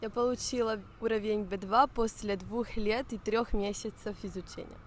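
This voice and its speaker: Fairly high-pitched woman's voice, flat and monotone, at a moderate pace. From Barcelona, Spain. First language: Spanish, Italian, Catalan (speaking Russian). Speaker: language learner. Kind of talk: interview.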